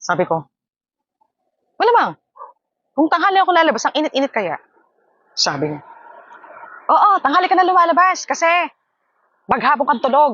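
Long, frequent pauses break up speech delivered at a fairly quick pace with very wide pitch swings. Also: woman, high pitch for a woman. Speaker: vlogger and live streamer. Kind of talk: casual vlog talk to camera. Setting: outdoors in a hammock. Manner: animated, frequent laughter.

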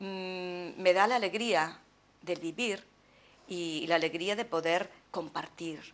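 With long, frequent pauses, a woman speaks at a very slow pace. Her pitch varies in an ordinary way. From Galicia, Spain (Ferrol). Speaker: poet. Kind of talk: interview. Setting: TV studio. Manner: hesitant, repeating words. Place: studio.

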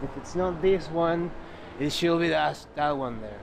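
A man speaks with fairly even intonation. There is noticeable background noise, but the sound is dry with no echo. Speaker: travel vlogger. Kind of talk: casual vlog chat. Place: street. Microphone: phone near.

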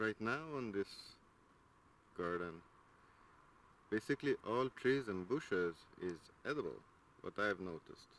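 Heard in a dry sound with no echo, a man talks at a fairly slow pace with ordinary pitch variation. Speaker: garden vlogger. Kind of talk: casual vlog chat. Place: garden. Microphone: phone near.

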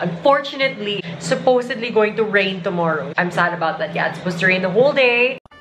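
With hardly any pauses, a woman speaks at a very fast pace over noticeable background noise. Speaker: travel vlogger. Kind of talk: casual vlog chat. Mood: playful, mock sad. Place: home room. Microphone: phone near.

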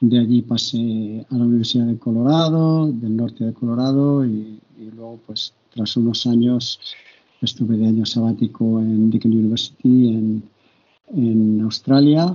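A man at a fairly slow pace with fairly even intonation, over a quiet background. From Spain, Barcelona. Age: 60s. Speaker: university professor and coach. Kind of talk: interview. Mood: calm, reflective. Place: home room. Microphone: video call.

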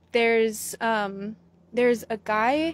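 Very slow speech from a woman, dry with no echo, over light background noise. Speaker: fan page host. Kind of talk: casual vlog chat. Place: street. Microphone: phone near.

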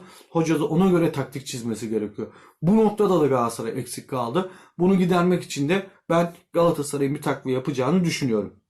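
A man speaks at a very fast pace. His voice is somewhat breathy and fairly high in pitch. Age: 40s. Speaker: YouTube football commentator. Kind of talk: casual vlog commentary. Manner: conversational, with filler hesitations.

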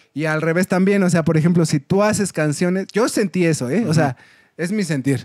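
A man with a Mexican accent talks at a fairly quick pace and a high pitch with ordinary pitch variation, in a dry sound with no echo against a quiet background. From Mexico. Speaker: folk punk musician; podcast guest. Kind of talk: casual chat. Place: studio.

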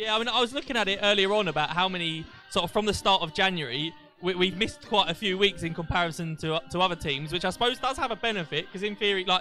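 At a very fast pace, a man speaks at a high pitch with ordinary pitch variation. Faint music plays in the background of a dry sound with no echo. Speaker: matchday show host. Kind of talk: live interview hosting. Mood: jokey, light-hearted. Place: stadium. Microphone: handheld.

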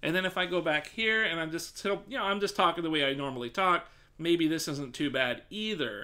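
A man with a fairly high pitch, a bright, sharp tone, lively intonation and a fairly quick pace. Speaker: streamer. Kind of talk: live stream mic test. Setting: live stream at home desk. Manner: loud, projecting voice. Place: home room. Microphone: studio mic.

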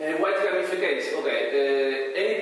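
A man speaks with strong echo from the room and light noise in the background. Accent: Spanish. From Canary Islands, Spain. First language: Spanish. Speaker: conference presenter, researcher. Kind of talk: conference talk. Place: hall.

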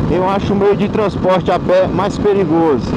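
A man's fairly slow speech comes through in a dry sound with no echo, set against loud background noise. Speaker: motorbike vlogger. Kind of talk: casual vlog chat. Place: motorbike. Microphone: helmet.

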